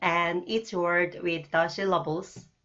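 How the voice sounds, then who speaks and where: In a Korean accent, a woman is speaking. Her voice sits at a medium pitch. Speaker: language teacher. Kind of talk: tutorial. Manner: slow, deliberate.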